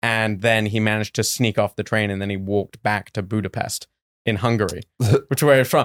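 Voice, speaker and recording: With an English accent and a medium pitch, a man is heard in a very clean recording with a silent background. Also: dry, close sound with no echo. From England. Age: 20s. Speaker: stand-up comedian. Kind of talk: casual chat.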